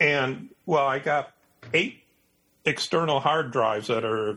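A man talks at a fairly slow pace in an American accent, his pitch medium with ordinary variation. His tone is bright and sharp. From Michigan, US Midwest (Detroit). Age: 60s. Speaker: nature and wildlife photographer. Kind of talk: casual interview chat.

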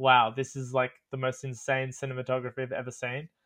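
A man speaks with an Australian accent at a fairly quick pace. His pitch is fairly high. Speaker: travel content creator. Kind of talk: casual chat. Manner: animated.

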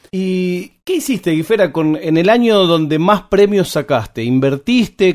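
A man speaks in a Rioplatense accent at a high pitch. His intonation is lively and his pace fairly slow. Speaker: podcast host. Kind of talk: interview.

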